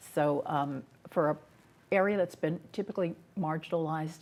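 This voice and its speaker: A woman with an American accent and a very deep, low pitch talks at a moderate pace with vocal fry. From West Sacramento, California. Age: 60s. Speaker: city council member and candidate. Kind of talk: interview.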